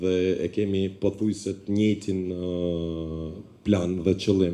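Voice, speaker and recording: A very deep, low, dark and mellow man's voice with an Albanian accent, at a very slow pace in monotone, flat intonation. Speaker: basketball club representative. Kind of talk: audience contribution.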